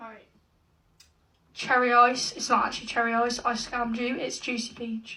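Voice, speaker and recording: In an animated tone, a woman speaks with a high voice, big swings in loudness and long, frequent pauses. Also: moderate pace. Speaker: YouTuber. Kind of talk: casual chat.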